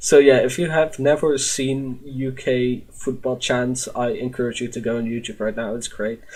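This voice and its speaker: This man talks at a moderate pace in a Dutch accent, with ordinary pitch variation and hardly any pauses. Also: medium pitch for a man. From Netherlands. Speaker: podcast host. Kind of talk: casual chat. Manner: halting, many fillers.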